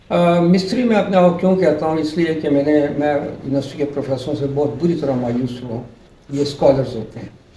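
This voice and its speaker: A man speaks at a moderate pace with a fairly high pitch and ordinary pitch variation. The room echo is audible. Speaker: retired electronics professor. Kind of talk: interview.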